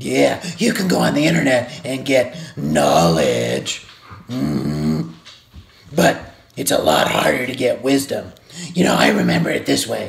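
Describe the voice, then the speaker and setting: A raspy, cartoonish character voice. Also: man, medium pitch for a man, moderate pace. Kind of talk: Bible devotional for kids. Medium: puppet. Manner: upbeat.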